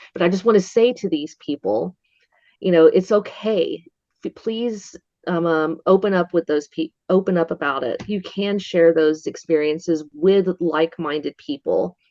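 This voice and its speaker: A woman with an Appalachian Georgia accent speaks at a moderate pace, her fairly low pitch moving with ordinary variation. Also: dry, close sound with no echo. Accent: Southern US (Appalachian Georgia). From north Georgia mountains, US South. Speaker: Bigfoot museum worker, witness. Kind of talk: interview. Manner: occasional stumbling over words.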